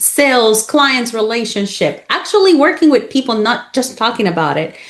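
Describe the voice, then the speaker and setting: A high-pitched woman at a moderate pace with lively intonation, over noticeable background noise. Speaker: podcast host. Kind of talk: interview questions. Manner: upbeat.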